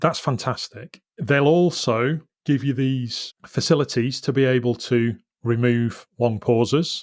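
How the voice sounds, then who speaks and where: Speaking with a Yorkshire accent, a man keeps a medium pitch with ordinary pitch variation. The recording is very clean and dry, close-sounding, with a silent background and no echo. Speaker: business podcast host. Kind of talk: solo podcast monologue. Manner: uses ums and ahs when speaking live.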